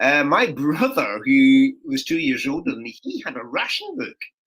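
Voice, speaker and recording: A man in a Scottish accent at a moderate pace. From Scotland. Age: 60s. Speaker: comedian. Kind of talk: casual chat.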